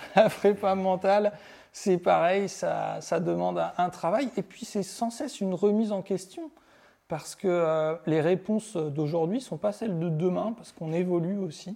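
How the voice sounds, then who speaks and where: Speaking at a fairly slow pace, a man has a high pitch, a dark, mellow tone and ordinary pitch variation. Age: 40s. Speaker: mental performance coach. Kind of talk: interview.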